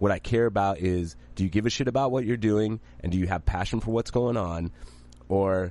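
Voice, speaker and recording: Here is a man with an unremarkable speaking voice and a fairly low pitch. He moves at a fairly quick pace with lively intonation. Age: 40s. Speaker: podcast co-host and producer. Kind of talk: casual chat.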